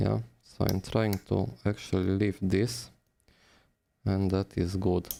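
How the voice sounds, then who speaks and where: With a non-native accent, the speaker talks at a very slow pace, leaving long, frequent pauses. The tone is dark and mellow, with very even loudness and ordinary pitch variation. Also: man, very deep, low pitch for a man. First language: not English. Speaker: phone repair technician. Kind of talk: live-stream tutorial. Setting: live stream.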